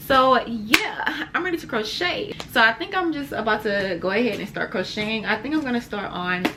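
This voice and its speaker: With noticeable background noise behind her, a woman with a fairly high pitch makes very wide pitch swings. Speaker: crochet vlogger. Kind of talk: casual vlog chat. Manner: fast; animated.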